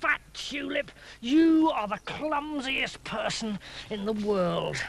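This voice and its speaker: A put-on character voice, female-sounding and high-pitched, at a very slow pace. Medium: read story.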